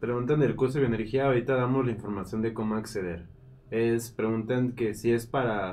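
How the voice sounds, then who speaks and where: This man's intonation is fairly even. He talks at a fairly quick pace. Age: 30s. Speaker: live stream co-host and moderator; live stream co-host, moderator. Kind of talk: casual live stream chat. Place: studio.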